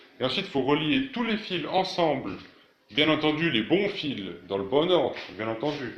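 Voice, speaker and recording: Recorded with audible room echo, a man with a fairly high voice swings very widely in pitch and leaves long, frequent pauses. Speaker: DIY tech YouTuber. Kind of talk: tutorial. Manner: fast; hesitant, many fillers.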